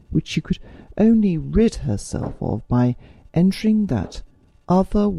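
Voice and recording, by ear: A passage is read aloud. The reader's voice is natural.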